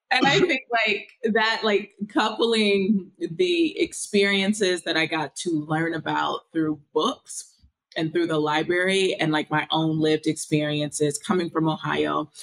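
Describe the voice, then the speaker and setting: Speaking at a fairly slow pace, a woman with a fairly low pitch uses ordinary pitch variation over a quiet background. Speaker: remote interview guest. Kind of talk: interview answer. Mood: warm, laughing, animated. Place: home room. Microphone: video call.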